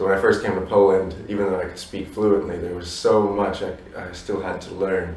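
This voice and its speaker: A man talks fairly quickly in a flat monotone, his loudness swinging widely. Audible room echo and noticeable background noise surround him. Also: fairly low pitch for a man. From raised abroad by Polish parents. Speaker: musician. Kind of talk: interview. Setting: Warsaw, view of stadium. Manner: halting, many fillers.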